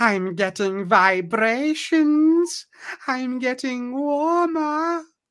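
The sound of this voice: This put-on character voice sounds female and sits high in pitch. Its pace is very slow.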